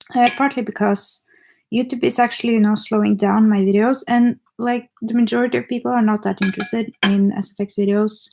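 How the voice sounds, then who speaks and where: With music in the background, a woman with a non-native accent talks at a fairly quick pace. Her pitch is fairly high and her intonation fairly even. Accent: clear foreign. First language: not English. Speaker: makeup artist and YouTuber. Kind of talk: casual livestream chat. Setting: livestream at home, eating dinner. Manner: hesitant, rusty English.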